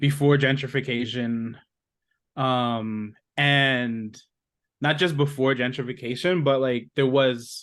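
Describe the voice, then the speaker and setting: A man talks very slowly in a New York accent. His pitch is medium and his intonation fairly even. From New York, Brooklyn. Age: 30s. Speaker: writer and podcast co-host. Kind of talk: interview.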